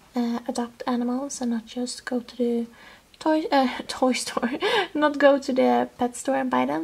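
Against noticeable background noise, a woman with a Swedish accent talks at a high pitch with ordinary pitch variation. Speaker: toy collector video host. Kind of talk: casual show-and-tell. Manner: enthusiastic, chatty.

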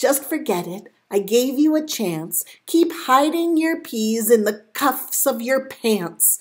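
A woman talks slowly with few pauses, fairly high pitch and lively intonation.

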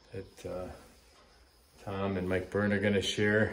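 This is a man speaking at a fairly low pitch. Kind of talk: casual vlog chat. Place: home room. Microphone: phone near.

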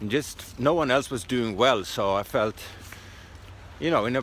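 Over light background noise, a man with a Swedish accent talks at a moderate pace with ordinary pitch variation and a dry sound with no echo. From Sweden. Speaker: stand-up comedian. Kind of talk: casual vlog talk to camera. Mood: wry, self-mocking.

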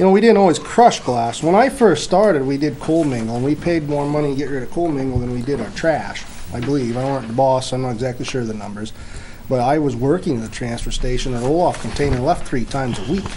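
A man's very fast speech with ordinary pitch variation over light background noise. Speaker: public works department head. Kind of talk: town board budget meeting. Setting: town meeting room. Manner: casual, rambling. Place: meeting room.

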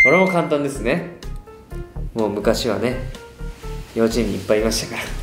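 A man speaks at a fairly quick pace but with long, frequent pauses. Clear music plays in the background. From Okayama, Japan. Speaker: pop group performer. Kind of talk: casual quiz-show talk. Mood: playful, amused. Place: studio.

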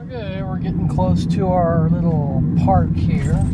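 Loud background noise runs under a dry sound with no echo. The speech moves at a fairly slow pace. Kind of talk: casual vlog commentary. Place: car.

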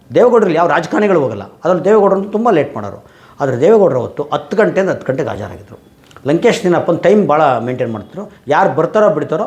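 Against noticeable background noise, a man speaks at a fairly high pitch with very wide pitch swings. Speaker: social activist and channel host. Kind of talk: monologue to camera.

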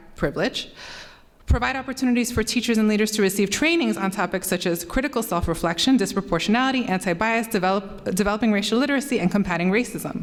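Speaking at a very fast pace, a woman keeps to a medium pitch. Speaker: parent speaking at public comment. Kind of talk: prepared public comment. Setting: school board meeting.

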